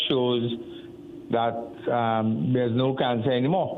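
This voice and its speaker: The speaker is a man. Audible room echo surrounds his voice. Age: 70s. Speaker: caller, cancer patient. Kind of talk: phone-in question. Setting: phone call. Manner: halting.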